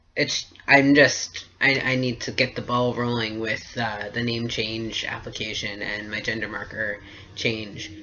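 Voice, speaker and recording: A man's medium-pitched voice at a fairly slow pace, flat and monotone in intonation, with noticeable background noise. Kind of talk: casual talk to camera. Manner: hesitant, many fillers.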